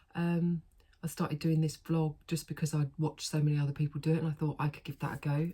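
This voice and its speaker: In a British accent, a woman with a very deep, low pitch speaks in a dark, mellow, somewhat breathy tone with monotone, flat intonation. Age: 40s. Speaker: vlogger. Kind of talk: casual chat. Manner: chatty, with many fillers.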